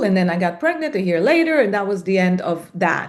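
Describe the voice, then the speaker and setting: A woman with a non-native accent speaks at a medium pitch with ordinary pitch variation. The background is quiet. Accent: noticeable foreign. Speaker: salon business founder. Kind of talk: podcast interview. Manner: halting, many fillers.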